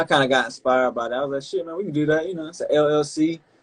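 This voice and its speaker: A man with a Carolina accent speaks at a very fast pace. His pitch is fairly high and his intonation fairly even. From Carolina, US South. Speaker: rapper. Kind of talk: interview. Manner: casual, halting.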